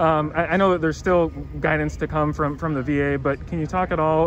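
Noticeable background noise in a dry sound with no echo. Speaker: newspaper reporter. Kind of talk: interview. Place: street. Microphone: phone near.

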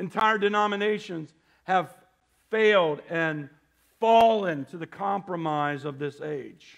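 An animated tone comes with big swings in loudness. The background is quiet. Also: man, high pitch for a man, ordinary pitch variation, fairly slow pace. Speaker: preacher. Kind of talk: sermon to a congregation, scripture reading with call-and-response. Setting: church with congregation. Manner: animated, fervent, exhorting; pauses for audience amens, repeats phrases for emphasis. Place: church.

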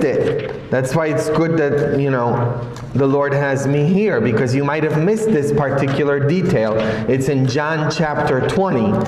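There is audible room echo and light background noise as a man speaks at a fairly slow pace, with very even loudness and ordinary pitch variation. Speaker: priest. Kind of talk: sermon. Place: church. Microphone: camera far.

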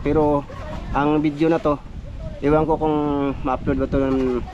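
Monotone, flat intonation at a moderate pace over noticeable background noise. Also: man. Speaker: vlogger. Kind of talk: casual vlog narration.

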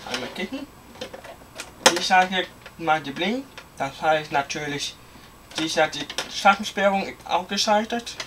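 A man's high voice with lively intonation at a fairly slow pace, broken by long, frequent pauses, over noticeable background noise. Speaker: hobbyist video maker; hobbyist demonstrating fire alarm panel. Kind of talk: product demonstration. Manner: casual. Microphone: phone near.

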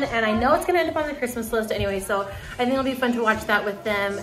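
A woman's voice comes with faint music behind it. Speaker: family vlogger. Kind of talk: casual vlog chat. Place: home room. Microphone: phone near.

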